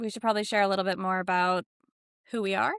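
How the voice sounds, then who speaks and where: A woman is heard in a dry, close recording with no echo. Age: 30s. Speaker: podcast host. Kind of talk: casual chat.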